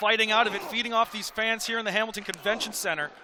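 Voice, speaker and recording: A man's high-pitched, raised and projected voice over noticeable background noise. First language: Portuguese. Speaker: wrestling commentator. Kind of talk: live commentary. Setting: arena with live crowd. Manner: animated.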